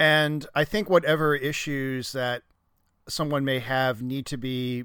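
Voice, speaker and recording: A man speaks at a medium pitch and a moderate pace, in an ordinary speaking voice. The recording is very clean, with a silent background. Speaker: guest discussing film.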